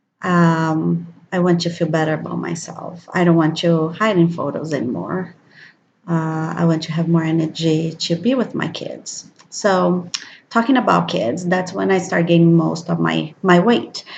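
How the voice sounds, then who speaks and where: A woman speaks at a fairly slow pace in a fairly low, somewhat breathy voice. Her pitch varies in an ordinary way. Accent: Brazilian Portuguese. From Brazil. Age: 30s. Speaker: vlogger. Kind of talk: personal video diary. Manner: hesitant, many fillers.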